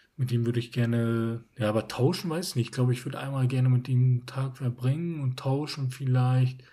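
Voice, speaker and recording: A man's somewhat breathy, dark and mellow voice at a fairly quick pace, with hardly any pauses and fairly even intonation. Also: medium pitch for a man. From northern Germany, Emsland. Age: 20s. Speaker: podcast co-host. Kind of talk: casual chat.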